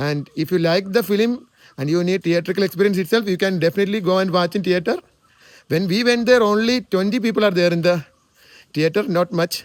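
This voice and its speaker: High-pitched male speech at a fairly quick pace, in a Keralan accent. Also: ordinary pitch variation. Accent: Indian (Malayali) English. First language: Malayalam. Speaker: movie reviewer. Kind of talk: movie review monologue. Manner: halting, with filler sounds.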